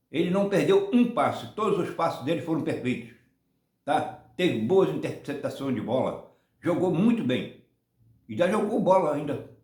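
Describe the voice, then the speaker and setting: At a moderate pace with long, frequent pauses, the voice swings very widely in pitch, and room echo is audible. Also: man. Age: 70s. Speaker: football fan channel host. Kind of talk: casual opinion monologue. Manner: halting, many repetitions and restarts.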